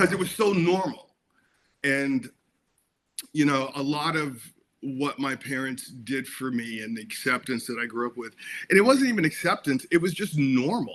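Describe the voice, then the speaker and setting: A man's fairly high voice, pitch shifting by a normal amount, moves along at a moderate pace. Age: 60s. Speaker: actor and film director. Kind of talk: interview. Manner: animated; halting.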